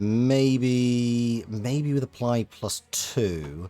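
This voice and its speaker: Over music in the background, a soft-spoken man talks. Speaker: video game streamer. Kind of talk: live gaming stream commentary. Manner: halting.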